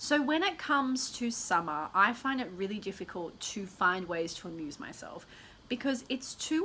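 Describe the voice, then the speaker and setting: The voice is animated, with very wide pitch swings and a bright, sharp tone. It moves along at a moderate pace. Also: woman. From Australia. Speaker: lifestyle YouTuber. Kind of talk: casual vlog talk to camera.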